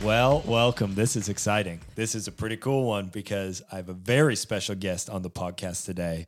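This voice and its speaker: On a very clean recording with a silent background, a man talks at a moderate pace with hardly any pauses. He has an ordinary speaking voice, fairly low in pitch, with ordinary pitch variation. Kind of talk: interview.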